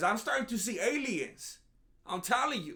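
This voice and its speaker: A man with an extremely high pitch talks in a raised, projected voice at a moderate pace. His tone is animated, bright and sharp, with lively intonation. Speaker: MMA commentary youtuber. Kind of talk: comedic commentary monologue.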